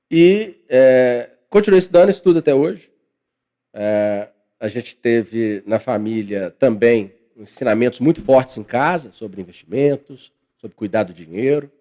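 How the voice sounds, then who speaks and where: Lively intonation carries a man's medium-pitched, dark, mellow voice at a fairly slow pace. His loudness swings a lot. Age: 40s. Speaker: financial consultant and professor. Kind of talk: podcast interview.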